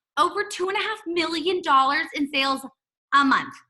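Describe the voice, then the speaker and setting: A woman's raised, projected voice. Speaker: direct sales team leader. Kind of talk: online opportunity call presentation. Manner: fast; animated.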